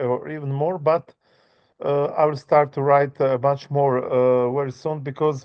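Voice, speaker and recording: A man's fairly high, fairly slow voice, monotone and flat in intonation, with a non-native accent. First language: not English. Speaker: author and music tour worker. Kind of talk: interview. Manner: halting, many fillers.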